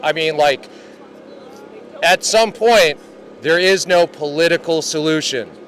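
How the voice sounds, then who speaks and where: An American accent, ordinary pitch variation and noticeable background noise. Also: man. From Connecticut. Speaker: rally attendee. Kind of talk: street interview. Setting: outdoors. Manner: animated.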